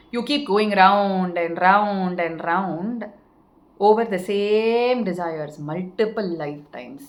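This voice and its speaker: Audible room echo hangs around this recording. The speaker is a woman. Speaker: spiritual teacher. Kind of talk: spiritual talk.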